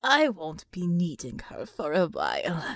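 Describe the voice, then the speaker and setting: A woman performs a raspy, put-on character voice. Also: fairly low pitch for a woman, fairly slow pace. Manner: cold, dismissive.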